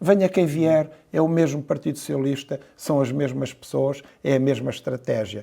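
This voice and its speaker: This man has a fairly high pitch and a dark, mellow tone, speaking at a moderate pace. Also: ordinary pitch variation. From central Portugal (Pombal, Coimbra). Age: 60s. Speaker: mayor and physician. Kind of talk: interview. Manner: hesitant, many fillers and repeated words.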